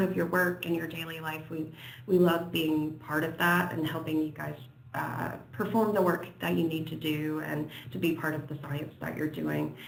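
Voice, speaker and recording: With an American accent, this voice moves along at a moderate pace. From United States. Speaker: software company presenter. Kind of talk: webinar presentation. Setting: online webinar. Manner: hesitant, many fillers.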